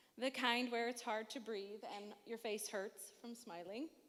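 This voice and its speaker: In a normal speaking voice, the speech moves at a moderate speed. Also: woman. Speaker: matron of honor giving wedding toast. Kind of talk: wedding speech. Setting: wedding reception with audience.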